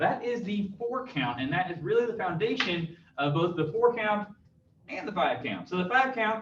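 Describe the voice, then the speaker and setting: Noticeable background noise sits behind a man talking at a moderate pace. His pitch swings very widely. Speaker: martial arts instructor. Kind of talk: live online class instruction. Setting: live stream.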